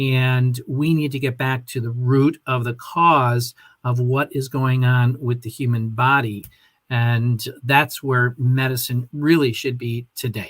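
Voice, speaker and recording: Speaking at a very slow pace, a man uses a medium pitch, monotone, flat intonation and a somewhat breathy sound. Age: 60s. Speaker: health and wellness coach. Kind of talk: interview.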